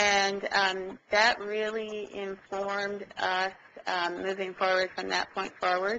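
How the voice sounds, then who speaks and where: A woman with a Pacific Northwest accent speaks very slowly at a medium pitch, her tone bright and sharp and her intonation monotone and flat. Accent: plain Oregon (US Pacific Northwest). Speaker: state transportation agency official. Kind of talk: webinar presentation. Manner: hesitant, many fillers.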